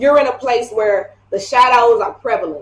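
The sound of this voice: A woman with a fairly high pitch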